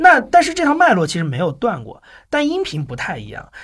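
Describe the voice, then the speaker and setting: Over a silent background on a very clean recording, a man speaks at a fairly quick pace. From Anhui, China, with long stays in Shanghai. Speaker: podcast producer and entrepreneur. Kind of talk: casual interview chat.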